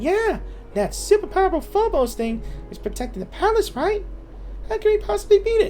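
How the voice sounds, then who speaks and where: This put-on character voice sounds female and squeaky, pitched extremely high, moving at a fairly quick pace with long, frequent pauses over clear background noise. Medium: game stream. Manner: chatty, refers to self in third person.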